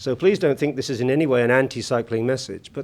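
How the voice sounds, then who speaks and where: A man with a British accent, very fast and lively in intonation. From UK. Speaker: conference keynote speaker. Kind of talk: conference speech. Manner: hesitant, many fillers.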